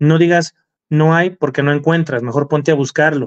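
Here is a man with an ordinary speaking voice. He talks at a fairly high pitch and a moderate pace. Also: quiet background. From Mexico. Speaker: car enthusiast livestream co-host. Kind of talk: casual livestream chat. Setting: live stream. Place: home room. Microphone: video call.

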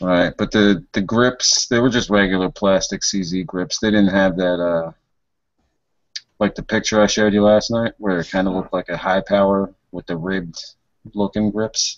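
A man speaks at a fairly low pitch and a moderate pace, with fairly even intonation. The sound is dry with no echo, and the background is quiet. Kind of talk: casual group chat. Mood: relaxed, chatty. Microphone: video call.

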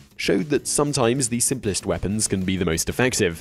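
At a fairly quick pace, a man with an unremarkable speaking voice talks with lively intonation. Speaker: online video host. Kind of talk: factual list narration.

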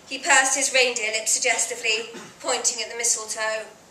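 A woman speaks in a raised, projected voice. The room echo is audible. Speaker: actor reading a story. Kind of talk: dramatic story reading. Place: bar.

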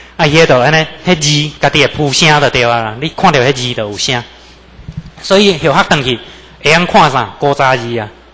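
A man speaks at a fairly quick pace yet with long, frequent pauses, over noticeable background noise. His fairly high pitch shows ordinary variation. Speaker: religious lecturer. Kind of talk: religious lecture with personal testimony. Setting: temple lecture hall with audience.

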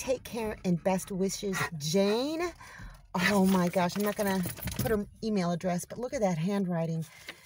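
An animated tone over noticeable background noise, with a dry sound and no echo. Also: woman, ordinary pitch variation, moderate pace. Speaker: homestead vlogger. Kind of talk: casual vlog narration. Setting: at home and outdoors. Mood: warm, grateful, delighted. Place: car. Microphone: phone near.

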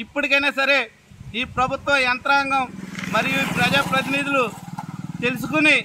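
A man's raised, projected voice, extremely high in pitch and monotone and flat, over noticeable background noise. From Konaseema, Andhra Pradesh; Andhra Pradesh. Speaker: local party activist. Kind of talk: on-location political protest statement. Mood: critical, satirical complaint. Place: open country.

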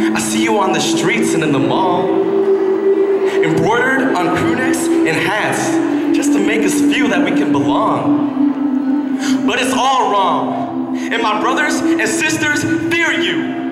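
With music in the background, a man speaks at a very slow pace and a very even loudness. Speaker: spoken word poet. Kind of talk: live spoken word performance. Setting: live on stage before an audience. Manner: impassioned, angry.

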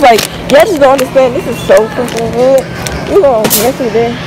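Noticeable background noise can be heard. The talking is fairly quick in pace. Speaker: vlogger shopping with child. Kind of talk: casual vlog chat. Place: shop. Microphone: phone near.

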